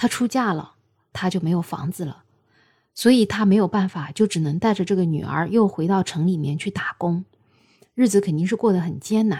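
A woman talks at a moderate pace with a medium pitch and ordinary pitch variation, her tone dark, mellow and somewhat breathy. The recording is very clean, with a silent background. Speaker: podcast host. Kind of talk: storytelling monologue. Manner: casual, with fillers.

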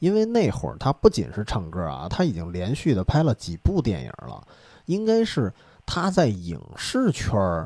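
Male speech at a moderate pace, captured on a very clean recording against a silent background. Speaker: podcast host. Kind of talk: casual chat. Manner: soft-spoken.

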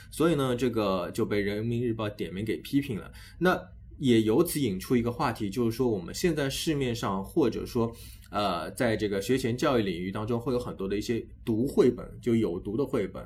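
At a moderate pace and medium pitch, a man talks in a plain, everyday voice with ordinary pitch variation. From Shanghai, China. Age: 30s. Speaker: education podcast host. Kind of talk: casual interview chat.

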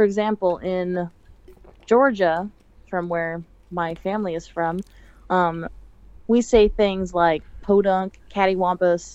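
Speaking at a very slow pace with long, frequent pauses, a woman with an American accent keeps a medium pitch and fairly even intonation. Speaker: college student. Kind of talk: casual chat.

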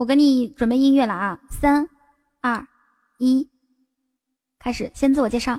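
A woman's high voice with a dark, mellow tone, fairly slow and full of long, frequent pauses, in a dry, close sound with no echo. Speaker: livestream host. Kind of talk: casual chat. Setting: live stream. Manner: animated.

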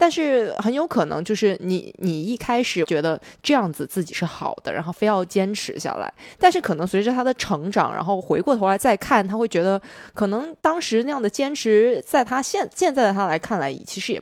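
In a very clean recording with a silent background, a woman with a medium pitch talks at a fairly quick pace, her pitch swinging very widely. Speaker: podcast host. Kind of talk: casual chat.

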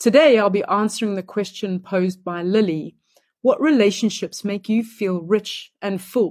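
In a very clean recording with a silent background, a woman speaks at medium pitch and a moderate pace with ordinary pitch variation. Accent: South African. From Johannesburg, South Africa. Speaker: energy coach. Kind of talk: short self-introduction and answer, recorded message.

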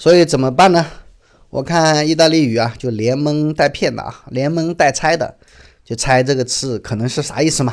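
A man's fairly high-pitched voice, a plain, everyday voice, at a moderate pace with ordinary pitch variation, on a very clean recording with a silent background. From China. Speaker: podcast host, travel storyteller. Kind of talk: casual travel narration. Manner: conversational, many fillers (啊, 呃).

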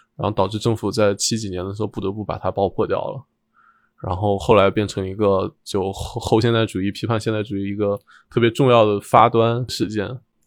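Talking at a fairly quick pace, a man keeps a monotone, flat intonation at a fairly low pitch. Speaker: architect. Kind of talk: casual chat.

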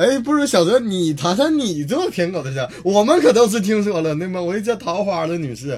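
Talking at a moderate pace, a man uses a high pitch. His voice swings very widely up and down. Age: 20s. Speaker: stand-up comedian. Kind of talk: casual chat.

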